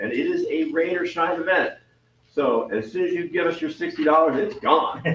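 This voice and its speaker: A man keeps a moderate pace as noticeable background noise runs behind him. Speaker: astronomy club member running star party events. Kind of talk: club meeting announcements. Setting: video call.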